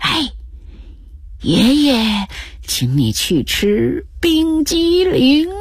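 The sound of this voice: Using a put-on character voice, a woman speaks very slowly in a high pitch with very wide pitch swings.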